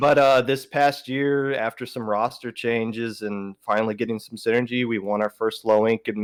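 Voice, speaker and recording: A man with a Southern US accent speaks at a medium pitch in a monotone, flat intonation. The recording is very clean with a silent background and a dry, close sound with no echo. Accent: southern drawl. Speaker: podcaster and esports team captain. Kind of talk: casual podcast chat. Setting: livestream podcast. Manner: slow; halting, many fillers.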